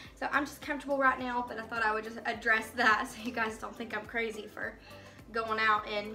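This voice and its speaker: Faint music plays behind a woman as she talks. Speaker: home vlogger. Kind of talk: casual vlog chat. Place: kitchen. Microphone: phone near.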